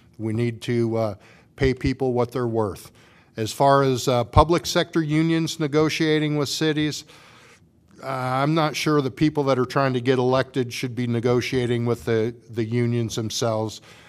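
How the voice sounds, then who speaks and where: A man speaks with a Midwestern US accent at a medium pitch. His pace is moderate, with ordinary pitch variation. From Washington, Iowa. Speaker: city council candidate. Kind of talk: candidate forum. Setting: public forum with audience.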